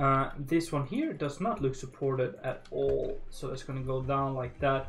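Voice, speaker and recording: A man talks at a fairly slow pace and medium pitch, with ordinary pitch variation and a relaxed tone. Room echo is audible, and music plays in the background. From northern Norway. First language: Norwegian. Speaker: gaming livestreamer. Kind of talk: casual livestream commentary while building. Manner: relaxed, many fillers and hesitations.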